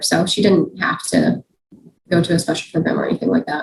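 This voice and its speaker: Somewhat breathy, a woman talks at a fairly quick pace. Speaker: dirt biker and YouTuber. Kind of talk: podcast interview. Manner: casual, many fillers.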